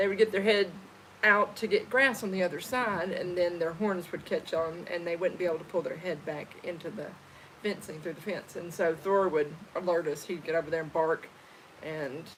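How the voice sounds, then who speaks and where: A woman speaks fairly quickly with an Arkansas accent. Her fairly low voice keeps a fairly even intonation. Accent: Southern US (Arkansas). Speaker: homesteader, channel co-host. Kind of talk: casual chat on a livestream.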